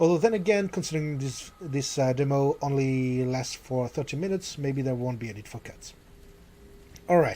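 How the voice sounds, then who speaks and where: Speaking with a French accent, a man uses a fairly high pitch. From France. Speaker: gaming YouTuber. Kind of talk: let's play commentary. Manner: hesitant, many fillers. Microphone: new microphone being tested.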